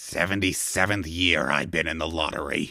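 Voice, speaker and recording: Man's put-on character voice, very deep and low, growling and rumbling, at a moderate pace with fairly even intonation, in a very clean recording with a silent background. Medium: read story. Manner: grumbling, petulant.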